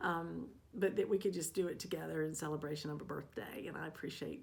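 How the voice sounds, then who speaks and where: A woman talks at a fairly quick pace with vocal fry and a fairly low pitch. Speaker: cross stitch vlogger. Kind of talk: casual vlog update. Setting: home stitching room. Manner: soft-spoken. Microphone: new microphone.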